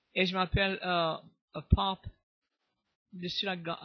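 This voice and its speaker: Here a man speaks at a high pitch. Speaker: storyteller. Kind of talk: interview answer.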